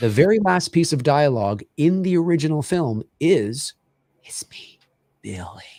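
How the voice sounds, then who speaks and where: A man at a moderate pace with very wide pitch swings, on a very clean recording with a silent background. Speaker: fan film director. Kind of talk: casual chat. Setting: live stream watch party. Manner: hesitant, many fillers.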